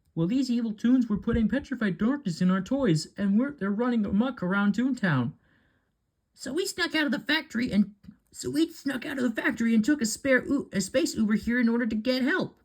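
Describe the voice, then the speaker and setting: A put-on character voice runs fairly quick at a fairly high pitch. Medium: read story.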